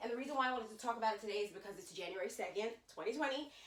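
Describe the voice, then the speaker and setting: Audible room echo around a woman's fairly high-pitched voice. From Jamaica. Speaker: vlogger. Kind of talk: casual vlog chat. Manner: fast; animated.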